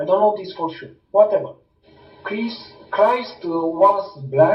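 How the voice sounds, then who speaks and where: With music playing in the background, this voice speaks in a Romanian accent with ordinary pitch variation. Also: man. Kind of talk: testimony. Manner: halting.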